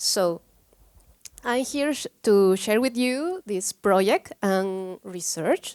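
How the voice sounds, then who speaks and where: With a Peruvian accent, a woman speaks very slowly, the sound dry and close with no echo. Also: very clean recording, silent background. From Peru, Cusco. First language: Spanish. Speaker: photography researcher. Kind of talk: conference talk. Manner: halting.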